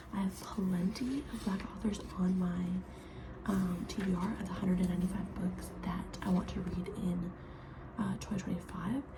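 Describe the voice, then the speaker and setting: A quiet woman speaks at a moderate pace amid noticeable background noise and audible room echo. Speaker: book vlogger. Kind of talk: casual chat. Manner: halting.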